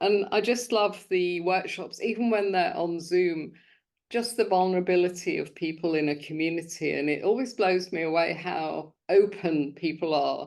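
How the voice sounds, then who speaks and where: At a moderate pace and medium pitch, a woman speaks in a southern English accent with ordinary pitch variation. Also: quiet background. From London. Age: 70s. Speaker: sobriety coach and podcast host. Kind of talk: interview conversation.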